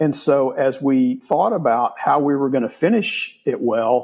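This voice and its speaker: A man uses a plain, everyday voice and keeps to a fairly slow pace. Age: 60s. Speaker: real estate investor. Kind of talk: interview.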